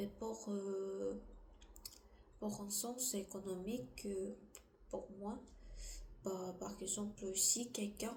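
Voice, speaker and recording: A woman with a non-native accent and medium pitch at a very slow pace, with noticeable background noise and audible room echo. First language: not French (speaking French). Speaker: vlogger. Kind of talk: casual monologue. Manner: halting.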